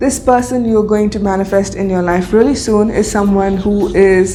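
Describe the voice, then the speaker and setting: Audible room echo and background music around a woman speaking. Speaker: tarot and akashic records reader. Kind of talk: spiritual reading. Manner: hesitant fillers.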